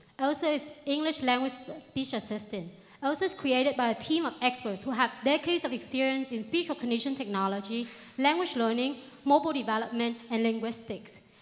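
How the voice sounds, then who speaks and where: Her pitch is high, with ordinary variation. The woman speaks in a Vietnamese accent at a fairly quick pace. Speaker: startup founder. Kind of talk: pitch presentation.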